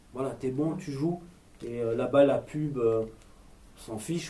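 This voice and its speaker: A somewhat breathy, dark, mellow tone at a fairly slow pace with fairly even intonation. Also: man. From Marseille, southern France. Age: 30s. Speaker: actor and screenwriter, former police officer. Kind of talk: interview.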